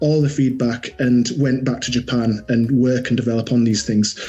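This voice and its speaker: Amid noticeable background noise, a man talks with fairly even intonation. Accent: Yorkshire. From Yorkshire, northern England. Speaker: watch brand manager. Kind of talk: interview.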